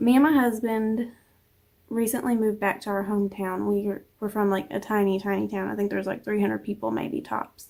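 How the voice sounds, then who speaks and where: A woman speaks with an American accent at a fairly high pitch. Her tone is dark and mellow, and her intonation fairly even. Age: 30s. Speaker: stay-at-home mom vlogger. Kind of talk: casual chat. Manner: casual, hesitant with fillers.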